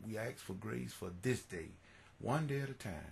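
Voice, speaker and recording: Light background noise sits under a man's very deep, low, warm voice, which carries vocal fry. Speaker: church music minister and devotional video host. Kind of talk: fervent prayer followed by sermon-style scripture reading and exhortation. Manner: earnest, pleading, preacher-like with repeated phrases and halting restarts; warm, devout, exhorting. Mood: earnest, devotional. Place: home room. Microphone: webcam.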